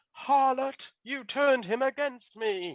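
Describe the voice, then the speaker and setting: A female-sounding voice puts on a shrill character voice at a high pitch. The pace is fairly slow. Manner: shrill and furious.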